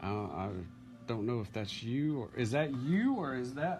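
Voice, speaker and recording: Over music in the background, a man with a medium pitch speaks at a fairly slow pace with lively intonation. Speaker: grandson interviewing his grandfather. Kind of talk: casual family interview. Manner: excited.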